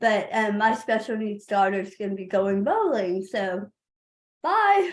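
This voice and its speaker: A woman with a Texan accent speaks at a fairly slow pace. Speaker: parent advocate. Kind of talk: webinar presentation.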